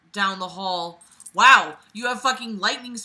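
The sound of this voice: Pitch shifts in an ordinary way here. The reading voice is unforced.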